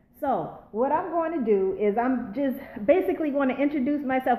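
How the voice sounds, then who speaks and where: A woman talking at a fairly quick pace amid noticeable background noise. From Charleston, South Carolina. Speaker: former public school educator. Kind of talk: casual live-stream talk to viewers. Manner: upbeat, excited.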